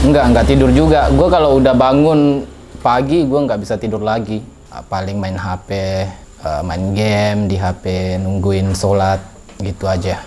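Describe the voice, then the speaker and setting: Over noticeable background noise and audible room echo, a man with a fairly low pitch talks at a moderate pace, his pitch swinging very widely. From Indonesia, West Sulawesi (Polewali Mandar). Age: young. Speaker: interviewee. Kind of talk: casual interview. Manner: halting.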